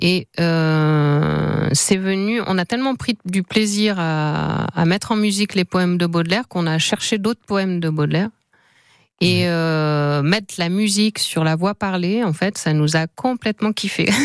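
In a normal speaking voice, a woman with a fairly low pitch talks fairly slowly with ordinary pitch variation and very even loudness, on a very clean recording with a silent background and a dry, close sound with no echo. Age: 50s. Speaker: singer-songwriter and teacher. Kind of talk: radio interview.

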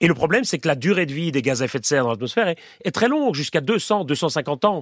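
A man talks very fast in a fairly high voice with lively intonation. The sound is dry and close, with no echo, on a very clean recording with a silent background. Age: 40s. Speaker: professor. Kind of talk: interview. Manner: halting.

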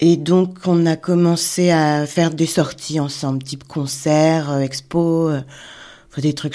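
A woman speaks in a very deep, low pitch with a dark, mellow tone. Her intonation is monotone and flat, while her loudness swings widely. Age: 40s. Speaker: illustrator. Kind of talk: testimony.

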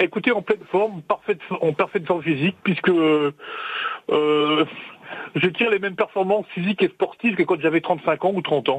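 This man has a high pitch for a man, ordinary pitch variation, very even loudness and a moderate pace. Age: 60s. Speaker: radio caller. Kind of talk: phone-in testimony.

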